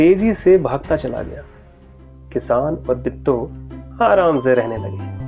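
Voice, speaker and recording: Long, frequent pauses break up the speech as music plays in the background. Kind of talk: moral story narration for children.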